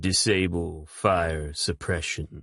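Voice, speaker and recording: A man's put-on character voice, rumbling and very deep in pitch, with fairly even intonation. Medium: read story. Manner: calm and detached.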